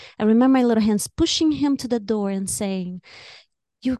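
A woman speaks in a Brazilian accent with a dark, mellow tone and ordinary pitch variation. The sound is dry and close with no echo, over a quiet background. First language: Portuguese. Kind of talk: casual interview chat.

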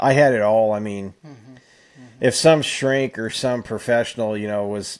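A man uses a normal speaking voice with ordinary pitch variation. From California, Fresno. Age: 50s. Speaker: recovering alcoholic. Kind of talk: casual chat.

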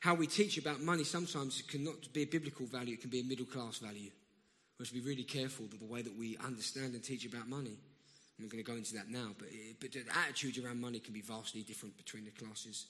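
Here a man talks very fast in a South London accent, medium in pitch with ordinary variation. He leaves long, frequent pauses. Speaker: guest preacher. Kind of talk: sermon. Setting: church.

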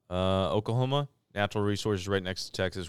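Very fast and with fairly even intonation, a man with a Midwestern US accent speaks in a very deep, low voice. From St. Louis, Missouri. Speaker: podcast co-host. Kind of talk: casual chat.

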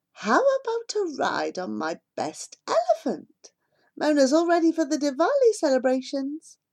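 A woman's squeaky, high put-on character voice at a moderate pace. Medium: read story. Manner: warm, friendly.

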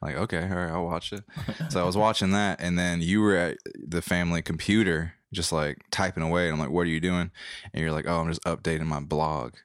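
In a very clean recording with a silent background, a man with a very deep, low pitch and a slight Southern US accent talks at a fairly quick pace with fairly even intonation. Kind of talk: casual chat. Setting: home laundry-room studio.

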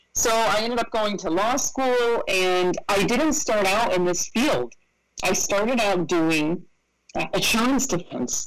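With an American accent, a woman in an ordinary speaking voice talks at a fairly slow pace and medium pitch, with lively intonation and very even loudness. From upstate New York, Rochester. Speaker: estate planning lawyer. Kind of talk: interview.

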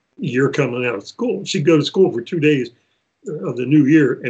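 Somewhat breathy and lively in intonation, a man's voice carries the speech. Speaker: roller coaster company owner. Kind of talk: casual interview. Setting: video call.

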